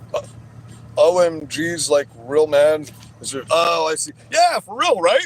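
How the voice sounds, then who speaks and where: A man speaks at a fairly slow pace in an animated tone, his loudness swinging widely, with long, frequent pauses and noticeable background noise. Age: 40s. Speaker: livestreamer. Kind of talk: livestream chat.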